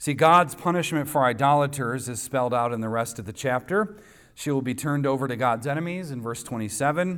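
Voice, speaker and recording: A normal speaking voice from a man, medium in pitch, fairly quick, with ordinary pitch variation. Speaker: pastor. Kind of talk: sermon. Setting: church.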